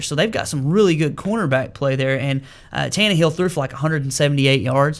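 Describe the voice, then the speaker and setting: Speaking at a very fast pace in an Arkansas accent, a man uses ordinary pitch variation. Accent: US Southern (Arkansas). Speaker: sports radio host. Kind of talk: sports talk radio show. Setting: radio studio.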